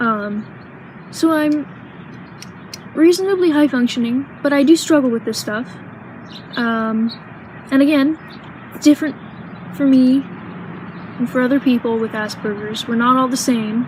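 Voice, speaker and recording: At a moderate pace, a woman speaks in a high pitch with ordinary pitch variation and long, frequent pauses, over noticeable background noise. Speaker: vlogger. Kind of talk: personal vlog. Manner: halting, many pauses.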